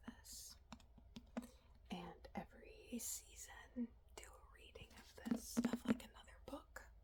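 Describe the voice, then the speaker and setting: The speaker is whispering, soft-spoken. The pace is very slow. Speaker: ASMR content creator. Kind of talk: ASMR soft rambling. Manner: whispery, soft-spoken.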